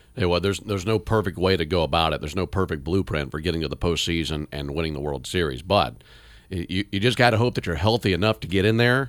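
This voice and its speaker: In a very clean recording with a silent background, a man with a very deep, low pitch and vocal fry speaks at a very fast pace. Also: lively intonation. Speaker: baseball radio broadcaster and podcast host. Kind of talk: casual chat.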